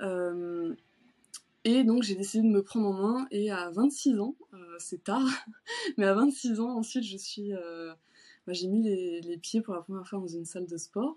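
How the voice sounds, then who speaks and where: Big swings in loudness, a dark, mellow tone, a fairly slow pace and long, frequent pauses. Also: woman, medium pitch for a woman, ordinary pitch variation. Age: 30s. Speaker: shoe designer and bodybuilding competitor. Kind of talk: casual interview. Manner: hesitant, many fillers.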